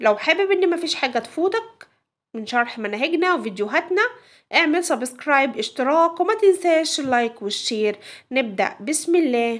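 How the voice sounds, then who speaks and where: A high-pitched woman's voice in an Egyptian accent, with very wide pitch swings, a moderate pace and a quiet background. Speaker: English teacher. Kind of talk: tutorial.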